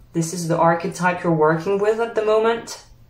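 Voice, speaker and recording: A woman speaks with a French accent. Her pitch sits in the medium range. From France. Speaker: tarot reader. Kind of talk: tarot pick-a-card reading, spiritual advice. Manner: conversational, reflective.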